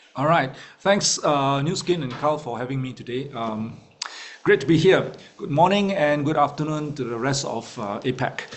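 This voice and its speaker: There is noticeable background noise behind a man with a fairly high pitch. He speaks at a moderate pace with ordinary pitch variation. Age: 50s. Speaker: network marketing leader and executive coach. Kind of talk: guest talk in online meeting. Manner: hesitant, many fillers.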